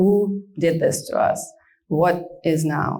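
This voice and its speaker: A woman with a Russian accent speaks at a fairly low pitch, with audible room echo. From Soviet Far East and Crimea, Ukraine. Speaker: guest speaker. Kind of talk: public talk. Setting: event with audience.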